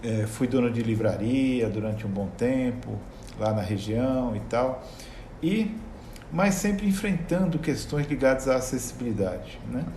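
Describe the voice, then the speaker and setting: Speaking at a fairly slow pace, a man with a medium pitch makes very wide pitch swings, and the room echo is audible. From Brazil, São Paulo state (ABC region, São Caetano do Sul). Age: 60s. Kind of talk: interview conversation.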